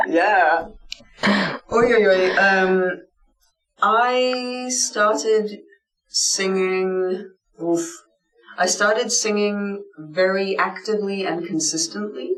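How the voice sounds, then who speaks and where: Music plays behind a woman who talks at a very slow pace, pausing long and often, her voice carrying an audible room echo. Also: medium pitch for a woman, ordinary pitch variation. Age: 30s. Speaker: metal singer. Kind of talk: interview. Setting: music venue. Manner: animated.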